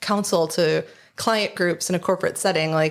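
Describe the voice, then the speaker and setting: Speaking in an American accent with a normal speaking voice, a woman uses a medium pitch, moderate pace and ordinary pitch variation on a very clean recording with a silent background. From Michigan. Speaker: small business founder. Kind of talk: casual interview chat. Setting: studio.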